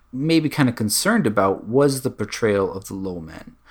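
At a moderate pace and with lively intonation, a man talks on a very clean recording with a silent background. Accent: American. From US Northeast, Connecticut. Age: 40s. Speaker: podcast guest. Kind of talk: casual chat. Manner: halting, many fillers and repeats.

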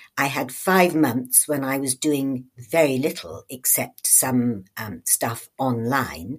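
With vocal fry and lively intonation, a woman speaks at a very slow pace. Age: old. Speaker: retired judge and author. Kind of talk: interview.

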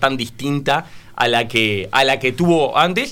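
Noticeable background noise sits behind the speaker. A man talks with lively intonation. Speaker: political panelist. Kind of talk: radio panel discussion. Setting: radio studio.

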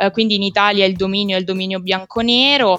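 Her medium pitch and bright, sharp tone move at a fairly quick pace as the woman keeps a fairly even intonation. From central Italy (Rieti, Lazio). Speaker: podcast guest, women's football enthusiast. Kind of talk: casual discussion.

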